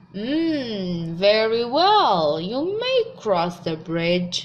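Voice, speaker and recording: At a very slow pace, a woman performs a put-on character voice at medium pitch. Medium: read story. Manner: menacing.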